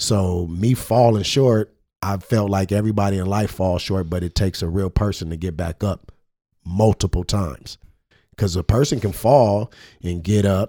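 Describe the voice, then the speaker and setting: A man with an American accent speaks at a moderate pace, his pitch fairly low and his tone dark and mellow. The recording is very clean with a silent background, and the sound is dry and close with no echo. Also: ordinary pitch variation. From Pasadena, California. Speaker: podcast co-host and basketball trainer. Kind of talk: casual chat. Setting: studio.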